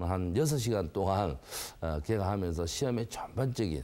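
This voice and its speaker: With a strong Gyeongsang accent, a man talks at a moderate pace in a dark, mellow tone, his pitch swinging very widely. The recording is very clean, and the background is silent. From South Korea, Gyeongsang (Busan, Geoje). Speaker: academy director. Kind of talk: interview.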